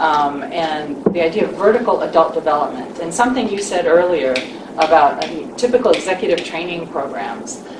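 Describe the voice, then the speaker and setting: Speaking at a fairly quick pace with lively intonation, a woman with a fairly low pitch comes through over noticeable background noise and audible room echo. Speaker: leadership coach. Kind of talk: panel presentation. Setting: live forum with audience. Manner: soft-spoken.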